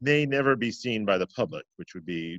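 A man speaks with lively intonation. The sound is dry with no echo, over a quiet background. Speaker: interview host. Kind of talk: host introduction. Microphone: webcam.

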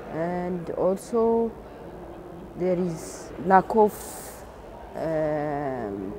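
Lively intonation carries a woman's fairly low voice. Noticeable background noise sits under a dry sound with no echo. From Ethiopia. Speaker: government plant health expert. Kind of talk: interview. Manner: halting, with fillers. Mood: calm, earnest. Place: street. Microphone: lapel.

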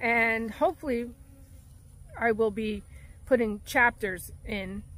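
A woman's voice with vocal fry, dry with no echo, over light background noise. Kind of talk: casual vlog chat. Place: open country. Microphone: phone near.

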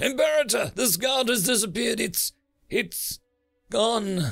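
A put-on character voice from a man, extremely high-pitched with vocal fry, a fairly bright tone and lively intonation, slow-paced, with faint music in the background.

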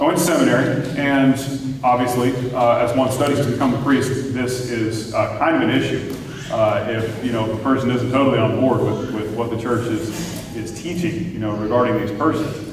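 Over noticeable background noise and audible room echo, a man talks at a moderate pace with ordinary pitch variation. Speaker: parish priest. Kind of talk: talk to a parish audience. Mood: calm, reflective. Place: church.

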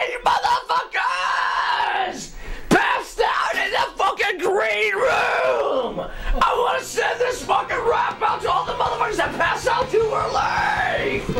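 A shouted, put-on character voice at a fairly slow pace over loud background noise. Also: man, extremely high pitch for a man. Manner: shouting, silly, drunken rant.

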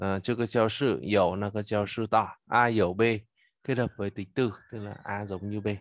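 A man's fairly low voice at a moderate pace with fairly even intonation, dry with no echo over a quiet background. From Vietnam. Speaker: Chinese language teacher. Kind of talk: lecture. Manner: halting. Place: home room. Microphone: webcam.

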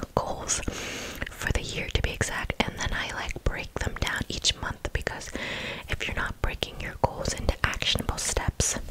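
Over loud background noise, a soft-spoken woman whispers at a fairly slow pace. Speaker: ASMR creator. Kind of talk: casual chat. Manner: soft ASMR whisper into close mic. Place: home room. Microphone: studio mic.

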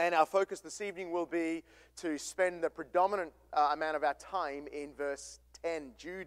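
A man with a high pitch and ordinary pitch variation speaks over a quiet background. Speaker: pastor. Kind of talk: sermon. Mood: calm, conversational. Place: church.

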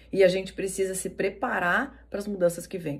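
A woman talks at a fairly quick pace with medium pitch. She has an ordinary speaking voice. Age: 40s. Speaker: NLP coach and podcast host. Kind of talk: motivational talk.

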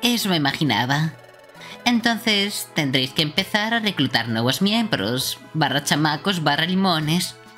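Over faint music in the background, a woman does a put-on character voice that is low for a woman, with lively intonation, a fairly slow pace and a bright, sharp tone.

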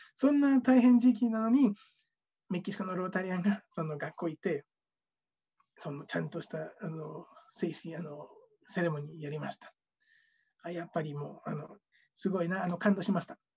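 Against a quiet background, the delivery has a moderate pace broken by long, frequent pauses. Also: man, high pitch for a man, lively intonation. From Mexico. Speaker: former scholarship student. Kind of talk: testimony. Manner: halting. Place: home room. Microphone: webcam.

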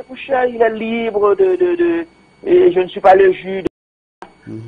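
A man speaks with very wide swings in pitch. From Haiti. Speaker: opposition spokesman. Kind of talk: radio interview. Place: studio.

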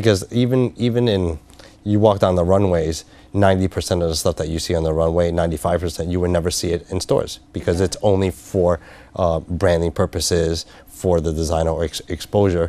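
A man talks at a fairly quick pace in a very deep, low pitch with a dark, mellow tone. His intonation stays fairly even, and the sound is dry with no echo. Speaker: business consultant. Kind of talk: interview. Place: studio. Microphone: lapel.

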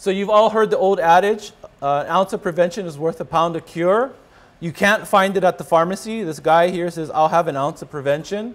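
A man speaks at a high pitch with ordinary pitch variation. His pace is fairly quick. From Hawaii. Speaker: rheumatologist; presenter. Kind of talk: lecture. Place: hall. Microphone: podium.

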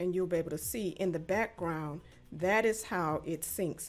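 Ordinary pitch variation over faint music in the background. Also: woman. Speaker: attorney instructor. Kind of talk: tutorial. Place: home room. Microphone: studio mic.

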